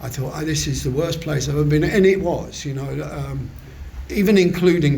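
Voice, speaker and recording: A man with a southern English accent, ordinary pitch variation and a moderate pace, amid noticeable background noise and audible room echo. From southern England. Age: 70s. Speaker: recovery meeting speaker. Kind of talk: testimony. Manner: halting.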